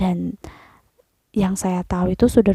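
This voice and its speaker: With a dry, close sound and no echo, a woman speaks at a medium pitch in a somewhat breathy voice with monotone, flat intonation. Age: 20s. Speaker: vlogger. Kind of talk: casual explainer monologue. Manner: hesitant, many fillers.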